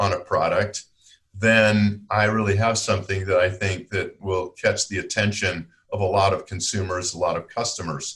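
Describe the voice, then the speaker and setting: An unremarkable speaking voice delivered at a moderate pace. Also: man. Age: 60s. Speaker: product development consultant and teacher. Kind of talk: podcast interview.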